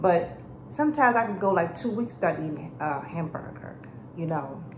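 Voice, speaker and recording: A woman speaks at a moderate pace with audible room echo and light background noise. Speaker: food vlogger. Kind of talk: casual mukbang vlog chat. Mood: relaxed, chatty. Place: kitchen. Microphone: phone near.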